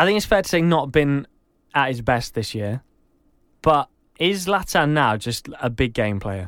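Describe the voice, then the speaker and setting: Over a silent background on a very clean recording, a man talks at a fairly slow pace with lively intonation. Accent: English. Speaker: podcast co-host. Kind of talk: casual chat.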